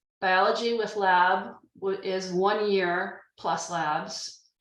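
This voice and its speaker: There is audible room echo as a woman speaks at medium pitch. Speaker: admissions staff presenter. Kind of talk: informational webinar presentation.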